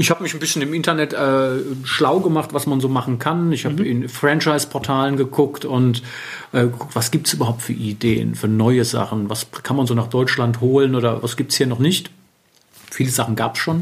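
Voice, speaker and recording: It's a normal speaking voice: a man at a medium pitch with ordinary pitch variation. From Germany, Wiesbaden. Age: 40s. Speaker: bespoke tailor. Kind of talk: interview. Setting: tailoring studio.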